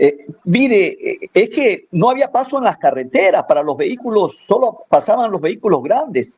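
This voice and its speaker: Barely pausing, a man speaks at an extremely high pitch with very wide pitch swings. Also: moderate pace. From Ecuador, Manabí coast. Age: 60s. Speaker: farmer and former forestry promoter. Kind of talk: radio interview. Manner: halting, many fillers.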